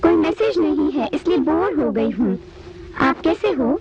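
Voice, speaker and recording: An extremely high-pitched, put-on character voice goes at a moderate pace over clear background noise. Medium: fan dub. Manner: polite, friendly.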